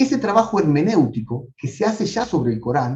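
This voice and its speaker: At a moderate pace, a man speaks in a fairly high voice with very wide pitch swings and vocal fry. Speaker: professor. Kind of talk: lecture.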